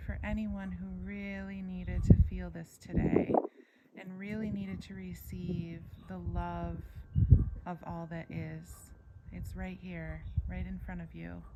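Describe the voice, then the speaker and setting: The voice is soft-spoken with big swings in loudness, moving at a fairly slow pace with long, frequent pauses. Audible room echo and noticeable background noise surround it. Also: woman. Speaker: equine-assisted wellness coach. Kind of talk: guided meditation.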